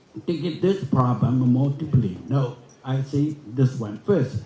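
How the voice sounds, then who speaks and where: A man speaks at a fairly slow pace in a fairly high pitch, with ordinary pitch variation. His tone is dark and mellow, somewhat breathy, and the room echo is audible. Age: 80s. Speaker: forum speaker. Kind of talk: conference speech. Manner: halting, with many restarts.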